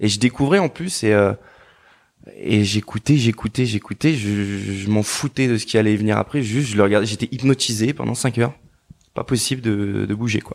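A plain, everyday voice from a man, fairly low in pitch with ordinary pitch variation, at a moderate pace in a dry, close sound with no echo. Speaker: former footballer turned DJ and producer. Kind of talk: interview. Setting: in person.

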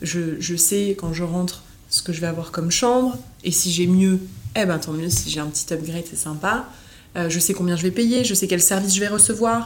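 Her voice is fairly low for a woman, with ordinary pitch variation and a moderate pace. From southern France, Nice. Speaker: hotel marketing director. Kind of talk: interview conversation.

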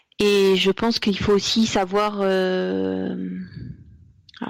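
A woman speaks at a medium pitch in a very clean recording with a silent background. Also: dry, close sound with no echo. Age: 40s. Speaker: psychic medium. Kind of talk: interview. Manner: halting.

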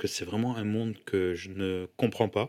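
Recorded very cleanly against a silent background, a man speaks at a fairly slow pace. He has a fairly low pitch and a normal speaking voice. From Senegal (Dakar), moved to France at 14. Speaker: entrepreneur and social media influencer. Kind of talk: casual interview chat.

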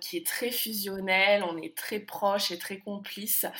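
A woman speaks in a plain, everyday voice at medium pitch, her intonation fairly even. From France. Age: 20s. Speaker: expatriate. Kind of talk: interview.

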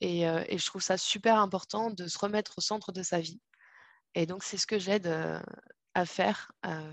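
Monotone and flat, a woman's medium-pitched voice moves at a moderate pace. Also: quiet background. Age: 30s. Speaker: holistic coach and doula. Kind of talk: interview.

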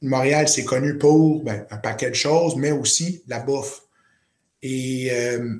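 A man with a medium pitch speaks at a very slow pace. His pitch varies in an ordinary way. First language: not French (speaking French). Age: 30s. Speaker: chef and entrepreneur. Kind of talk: interview. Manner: halting.

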